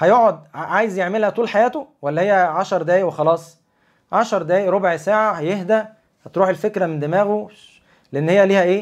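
The voice has ordinary pitch variation and sits against a quiet background. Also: man, high pitch for a man, moderate pace. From Egypt. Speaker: Islamic lecturer. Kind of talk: religious talk on a livestream. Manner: conversational, animated. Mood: calm, reassuring. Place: home room. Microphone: lapel.

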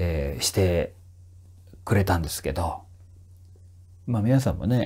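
A man with a very deep, low pitch and a dark, mellow tone speaks at a moderate pace, sounding somewhat breathy. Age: 40s. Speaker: vocal trainer and YouTuber. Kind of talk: casual monologue. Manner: polite, filler-heavy.

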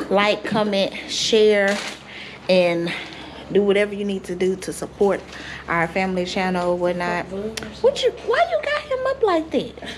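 A woman speaks at a fairly slow pace with noticeable background noise. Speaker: family vlogger. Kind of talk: casual vlog chat. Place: home room. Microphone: phone near.

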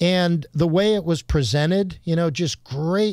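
A man speaks at a fairly slow pace with ordinary pitch variation. The sound is dry, with no echo. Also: quiet background. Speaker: podcast guest. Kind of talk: interview answer. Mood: relaxed, enthusiastic. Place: studio. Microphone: studio mic.

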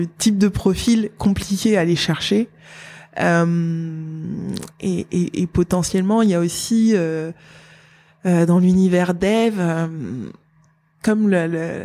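A woman's dark, mellow tone with fairly even intonation, on a very clean recording with a silent background. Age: 30s. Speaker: engineer and tech entrepreneur. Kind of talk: interview. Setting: in person at her company's office. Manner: halting, many fillers and repetitions.

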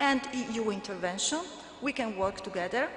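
In an Italian accent, a woman talks at a moderate pace with a high pitch and ordinary pitch variation, over light background noise and audible room echo. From Italy. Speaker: conference moderator and EU policy officer. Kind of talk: conference moderation. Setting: conference stage with audience. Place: hall. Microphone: podium.

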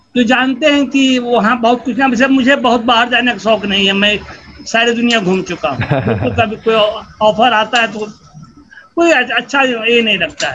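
Over light background noise, a man speaks at an extremely high pitch and a fairly slow pace, with ordinary pitch variation. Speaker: retired sociology professor. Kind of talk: interview answer. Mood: relaxed, reflective. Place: home room. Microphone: video call.

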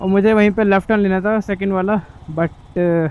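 A man with a high voice speaks at a moderate pace, his intonation fairly even.

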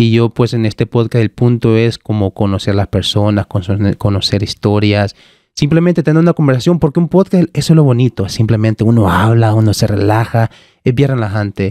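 Over a quiet background, a man speaks at a fairly quick pace in a dark, mellow tone with lively intonation and very even loudness, the sound dry with no echo. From El Salvador, Cabañas; El Salvador. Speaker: podcast host, tech content creator. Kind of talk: casual interview chat. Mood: warm, grateful, relaxed. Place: studio. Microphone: studio mic.

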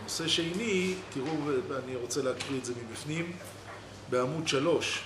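A man is speaking. Light background noise and audible room echo can be heard. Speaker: religious teacher. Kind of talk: sermon. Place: church.

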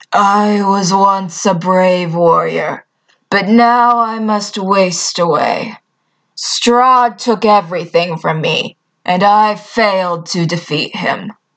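A female-sounding, put-on character voice speaks with a menacing tone. The pitch sits in the middle and the pace is very slow. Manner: grim, proud, menacing.

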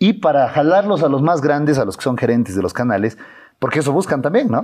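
Against a quiet background, a man talks at a fairly high pitch. His voice moves in very wide pitch swings. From Bolivia, Beni. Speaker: influencer and content creator; influencer, content creator. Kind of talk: interview. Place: studio. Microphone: lapel.

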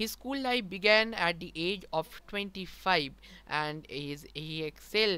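Dry and echo-free, a man's bright, sharp voice moves with ordinary pitch variation. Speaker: speaker. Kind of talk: lecture. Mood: calm, reverent. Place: home room. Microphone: headset.

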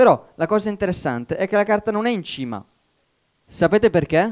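Lively intonation carries a fairly quick pace over a quiet background. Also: man. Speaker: amateur magician. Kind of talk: magic show patter. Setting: stage with audience. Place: stage.

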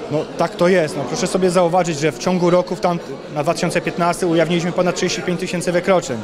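With crowd noise in the background, a man speaks at a high pitch with hardly any pauses, fairly even intonation and very even loudness. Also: fairly quick pace. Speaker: municipal police officer. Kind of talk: interview. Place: hall. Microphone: handheld.

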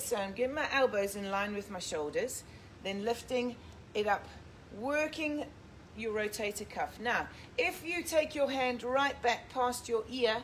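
Against light background noise, a woman speaks fairly slowly at a high pitch with lively intonation. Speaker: fitness instructor. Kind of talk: workout instruction. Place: gym. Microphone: camera far.

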